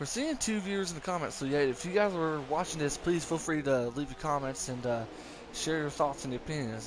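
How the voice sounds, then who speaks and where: A man with a strong West Virginia accent, fairly high-pitched, talking at a very fast pace over noticeable background noise. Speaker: sim racing commentator. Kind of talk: live commentary.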